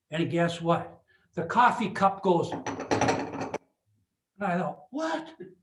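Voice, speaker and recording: A man with an Upper Midwest accent talks amid audible room echo. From Superior, Wisconsin. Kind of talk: lecture. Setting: video call. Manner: animated.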